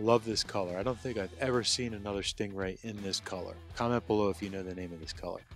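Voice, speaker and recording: A man's fairly low voice at a very fast pace, with fairly even intonation and hardly any pauses, dry with no echo, faint music in the background. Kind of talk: casual walk-through commentary. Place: hall. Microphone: phone near.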